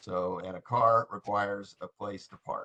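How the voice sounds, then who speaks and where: In a normal speaking voice, a man talks with fairly low pitch and fairly even intonation. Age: 60s. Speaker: committee member. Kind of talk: meeting discussion.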